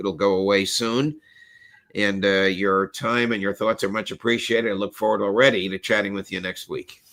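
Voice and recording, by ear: Doing a put-on character voice, a man speaks hoarsely at a moderate pace, fairly low in pitch and with fairly even intonation.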